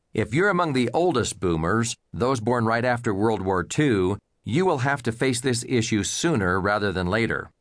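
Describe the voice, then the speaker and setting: A man with a plain, everyday voice speaks at a medium pitch and a moderate pace, with lively intonation and hardly any pauses. His loudness stays very even against a quiet background. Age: 50s. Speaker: financial advisor and author. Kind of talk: audiobook narration.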